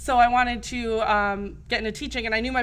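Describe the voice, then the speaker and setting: Loud and very fast, a woman with an American accent speaks in a fairly high pitch with fairly even intonation, amid audible room echo. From New Jersey. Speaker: teacher. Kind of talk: casual chat. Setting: studio.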